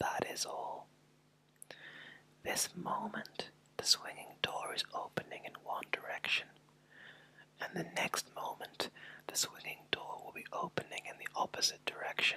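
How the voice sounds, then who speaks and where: Whispering at a fairly slow pace, a man leaves long, frequent pauses as his loudness swings widely. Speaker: ASMR artist. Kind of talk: ASMR whisper reading of a book chapter. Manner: whispered, soft, slow.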